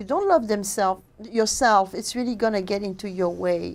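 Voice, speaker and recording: Speaking with a French accent and fairly even intonation, a woman is heard on a very clean recording with a silent background. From Normandy, France. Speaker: author and diet coach. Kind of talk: interview.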